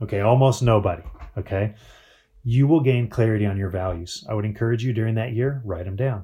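The voice belongs to a man and sounds somewhat breathy. Its tone is dark and mellow. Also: medium pitch for a man, ordinary pitch variation. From Colorado mountains. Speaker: marriage speaker. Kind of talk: conference talk.

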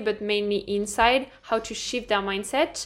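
In a very clean recording with a silent background, a woman with a French accent speaks at a moderate pace, her fairly high pitch held to fairly even intonation. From northern France. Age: 20s. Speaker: personal trainer. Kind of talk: casual chat.

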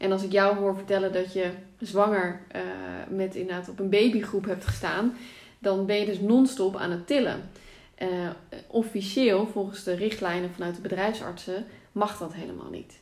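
A woman with an unremarkable speaking voice talks at medium pitch and a moderate pace, her intonation fairly even but with big swings in loudness. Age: 30s. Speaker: author and pregnancy yoga teacher. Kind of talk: casual interview.

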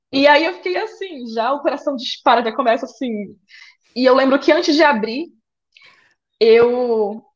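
The speaker is a woman with lively intonation. She keeps a moderate pace. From Brazil, Pará (interior near Belém). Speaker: flight attendant. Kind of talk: casual interview.

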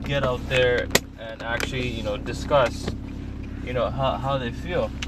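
Noticeable background noise runs behind a man's speech. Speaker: podcast host and student. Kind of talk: casual monologue. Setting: in a car at a traffic stop. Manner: rambling with many fillers.

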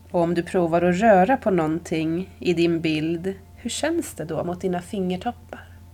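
A woman with an unremarkable speaking voice talks with hardly any pauses, her pitch fairly low with ordinary variation. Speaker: yoga nidra teacher. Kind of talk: guided meditation. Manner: slow, soft-spoken, calm and soothing with long pauses.

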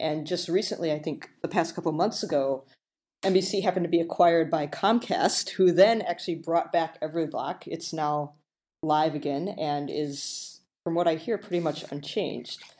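A woman with an American accent speaks in a normal speaking voice, fairly low in pitch, at a moderate pace with ordinary pitch variation. The recording is very clean, with a silent background. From Illinois. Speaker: designer. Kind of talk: casual chat.

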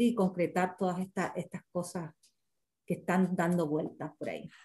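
The woman's tone is dark and mellow. Her voice is somewhat breathy. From Cuba (Cienfuegos, Trinidad). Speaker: writer and teacher. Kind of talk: interview conversation. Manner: halting, many fillers.

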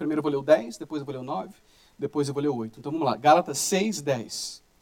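This man's speech has lively intonation. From Brazil. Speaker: pastor. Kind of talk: sermon.

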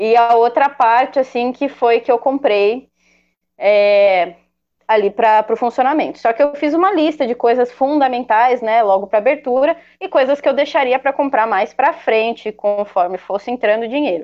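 Her pitch high, a woman talks with ordinary variation in her voice. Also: moderate pace. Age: 20s. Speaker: guitarist and music school owner. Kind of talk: casual interview.

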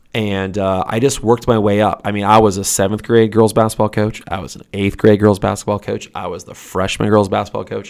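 In a very clean recording with a silent background, a man with an American accent talks at a fairly quick pace with hardly any pauses, his fairly low voice monotone and flat but swinging widely in loudness. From Detroit, Michigan. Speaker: high school girls basketball coach. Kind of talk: casual interview. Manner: frequent fillers and hesitations.

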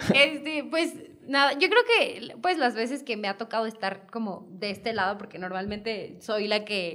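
Lively in intonation and fairly high in pitch, a woman speaks at a fairly slow pace amid noticeable background noise. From Mexico, Hidalgo (Pachuca). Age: 20s. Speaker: model. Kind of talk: casual chat.

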